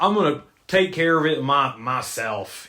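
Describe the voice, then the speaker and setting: Putting on a character voice with a Southern accent, a man talks at a moderate pace in a fairly high pitch. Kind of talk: folksy, boastful. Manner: overconfident.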